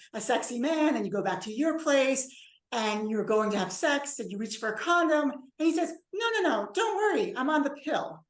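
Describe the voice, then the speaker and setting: Speaking at a fairly quick pace, a woman swings very widely in pitch. Room echo is audible. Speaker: bioethics professor. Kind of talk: lecture. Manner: fast.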